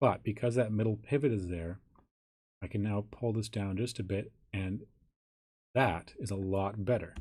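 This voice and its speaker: A man speaks in a dark, mellow tone. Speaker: software tutorial instructor. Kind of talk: tutorial. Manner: casual, conversational.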